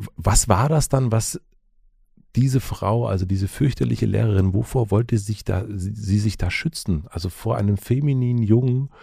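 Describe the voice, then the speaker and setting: A man's fairly low, somewhat breathy voice with a dark, mellow tone moves at a moderate pace with ordinary pitch variation. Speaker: podcast host. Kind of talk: interview.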